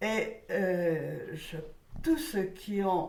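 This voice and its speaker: With audible room echo, a woman at a medium pitch uses very wide pitch swings and vocal fry. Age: 90s. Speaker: elderly witness recounting childhood memories. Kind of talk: testimony.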